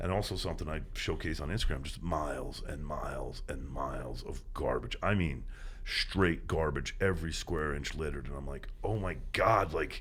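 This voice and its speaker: With audible room echo, a man talks in an animated tone with hardly any pauses. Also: moderate pace. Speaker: environmental activist, beach cleanup organizer. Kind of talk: podcast interview.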